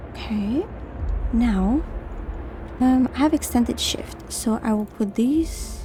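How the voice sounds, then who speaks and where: With music in the background, a woman speaks very slowly with a non-native accent and long, frequent pauses. Her tone is calm and relaxed. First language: not English. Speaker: gaming YouTuber. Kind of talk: calm gaming commentary. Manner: calm, relaxed, soft-spoken.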